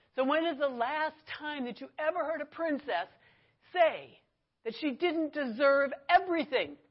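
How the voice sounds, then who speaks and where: A loud, high-pitched woman's voice with an American accent. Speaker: church teacher, pastor's wife. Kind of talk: bible class teaching.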